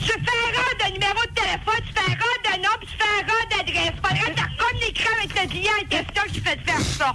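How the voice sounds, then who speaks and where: A woman doing a put-on character voice at an extremely high pitch talks at a fairly quick pace with hardly any pauses, over loud background noise. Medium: game stream. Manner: curt, repetitive, swearing.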